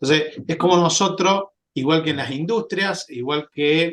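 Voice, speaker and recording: A moderate tempo with ordinary changes in pitch. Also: man. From Argentina, Córdoba province. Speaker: sales and marketing representative, fire safety presenter. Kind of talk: webinar presentation. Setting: online webinar. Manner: hesitant, many filler sounds.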